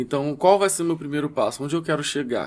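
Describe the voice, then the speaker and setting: In a very clean recording with a silent background, a man has a normal speaking voice, fairly high in pitch, with ordinary pitch variation. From Rio de Janeiro, West Zone favela. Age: 20s. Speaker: rapper. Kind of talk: casual interview chat.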